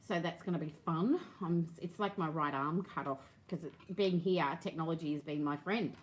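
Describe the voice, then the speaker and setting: Female speech with ordinary pitch variation. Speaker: quilting teacher and fabric seller. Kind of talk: live-stream tutorial. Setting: live video stream. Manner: fast.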